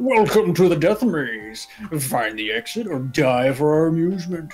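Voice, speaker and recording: A put-on character voice with very wide pitch swings at a moderate pace, faint music in the background. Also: man, fairly high pitch for a man. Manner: ominous, mysterious.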